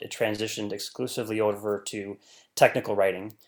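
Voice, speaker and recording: An ordinary speaking voice from a man with an American accent, fairly low in pitch and fairly quick in pace, in a very clean recording with a silent background. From US Midwest, rural northern Wisconsin. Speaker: scientist and novelist. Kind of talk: interview.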